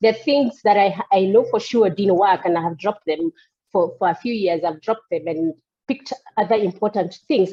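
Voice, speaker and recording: A woman talks at a moderate pace in a plain, everyday voice. Her pitch is medium, with ordinary pitch variation. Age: 50s. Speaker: coachee in a coaching demo. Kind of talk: coaching session.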